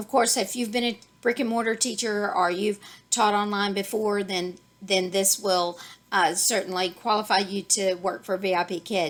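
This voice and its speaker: A woman's fairly even intonation in a Texas accent. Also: medium pitch for a woman. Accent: Texas drawl. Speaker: online ESL teacher and YouTuber. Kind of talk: tutorial. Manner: halting, many fillers.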